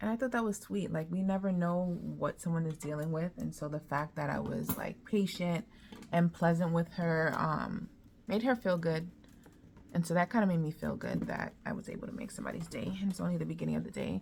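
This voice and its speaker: A woman's somewhat breathy, fairly low voice at a fairly quick pace with ordinary pitch variation. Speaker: vlogger and life coach. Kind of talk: casual vlog chat. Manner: casual, filler-heavy.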